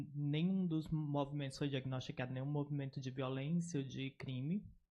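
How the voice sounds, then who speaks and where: A man with a slight northeastern Brazilian accent has a fairly high, somewhat breathy voice. He keeps a moderate pace and fairly even intonation. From Northeast Brazil, Oeiras, Piauí. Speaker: researcher. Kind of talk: academic lecture.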